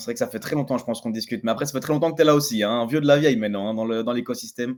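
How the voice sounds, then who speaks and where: A man with a slight Belgian accent at medium pitch, talking at a very fast pace with hardly any pauses and fairly even intonation. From Belgium. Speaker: Web3 entrepreneur. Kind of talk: interview. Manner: hesitant with repetitions.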